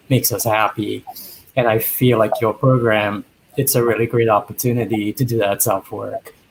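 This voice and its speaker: A man speaks at a moderate pace and medium pitch. His delivery is a flat monotone and somewhat breathy. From Trinidad. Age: 50s. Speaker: dating show bachelor. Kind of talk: interview.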